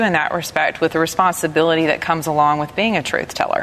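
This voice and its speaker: Against noticeable background noise, a woman with a Southern US accent speaks in a fairly low pitch with fairly even intonation. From US South. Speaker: radio host. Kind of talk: panel discussion. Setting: studio with audience.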